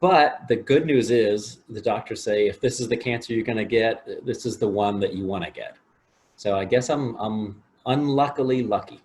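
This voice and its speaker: This man has an American accent and a medium-pitched voice. He sounds somewhat breathy and talks at a moderate pace. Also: ordinary pitch variation. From US Midwest, Willard, Ohio. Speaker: motivational speaker. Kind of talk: interview. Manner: halting, repeats words.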